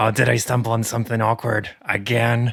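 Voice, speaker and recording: A raspy, put-on character voice from a man, medium-pitched and at a fairly quick pace. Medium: actual play. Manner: chatty, tactless.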